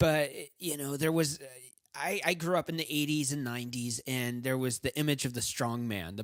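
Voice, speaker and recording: A man talks in a plain, everyday voice at a moderate pace, his pitch fairly high with ordinary pitch variation. Everything is captured on a very clean recording with a silent background. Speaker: podcast host. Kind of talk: podcast interview host.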